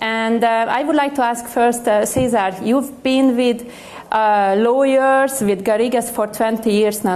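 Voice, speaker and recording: A woman's fairly high voice in a Hungarian accent, at a fairly slow pace, with audible room echo. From Hungary, Budapest. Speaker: panel moderator. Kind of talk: panel discussion. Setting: stage with audience.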